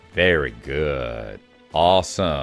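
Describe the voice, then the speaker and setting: A man is speaking. Music plays in the background. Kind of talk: casual video game commentary.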